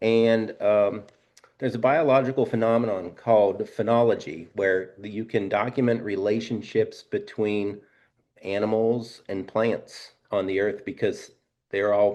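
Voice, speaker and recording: Against a quiet background, a man talks at medium pitch with fairly even intonation and a fairly slow pace. It is a plain, everyday voice. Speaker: fly fishing guide. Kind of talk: webinar presentation. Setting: live webinar.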